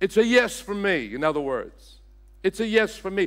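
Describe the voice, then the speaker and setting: The recording is very clean with a silent background. A man speaks in an Australian accent. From Australia, Sydney. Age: 60s. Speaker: senior pastor. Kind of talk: sermon. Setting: church.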